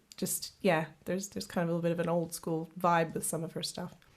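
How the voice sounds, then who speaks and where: Vocal fry runs through this woman's fairly low voice. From Canada, Kenora, Ontario. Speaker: singer-songwriter. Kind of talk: interview. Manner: halting.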